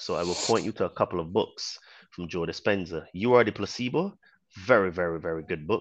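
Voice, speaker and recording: Against a quiet background, a man with a very deep, low pitch talks at a very fast pace. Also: ordinary pitch variation. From Barbados. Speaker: online fitness trainer. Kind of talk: casual chat.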